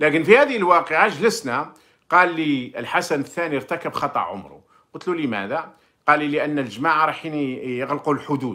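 A man with an Algerian accent speaks at a moderate pace in a fairly high pitch, his tone bright and sharp against a quiet background. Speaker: former diplomat and commentator; commentator. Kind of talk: monologue commentary with personal recollection. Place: home room. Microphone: phone near.

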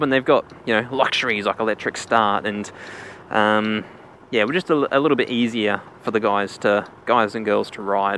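Recorded dry with no echo and light background noise, a man speaks with ordinary pitch variation. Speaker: rider reviewing the bike. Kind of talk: casual commentary. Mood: relaxed, amused. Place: motorbike.

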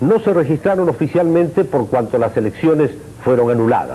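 This man's intonation is lively. His pitch is fairly high. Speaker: news anchor. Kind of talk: 1985 TV news broadcast, formal scripted reading of election statistics and history. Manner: formal, measured, authoritative.

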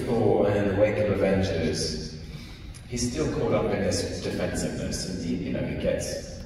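In a room with strong echo and noticeable background noise, a man with a British accent speaks at a moderate pace. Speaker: actor. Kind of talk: convention panel interview answer. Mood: calm, reflective. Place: hall.

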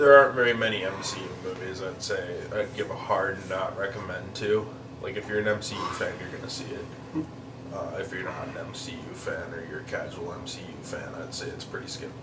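Loud background noise fills the clip as a man talks at a fairly quick pace. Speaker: movie reviewer. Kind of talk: casual review discussion. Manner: tipsy, loose, drowsy review talk. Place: home room.

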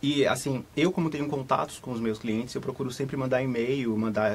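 A man speaks at a medium pitch with fairly even intonation. His pace is fairly quick. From Brazil, Salvador (Bahia). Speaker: travel agent. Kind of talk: live studio interview. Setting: studio. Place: studio.

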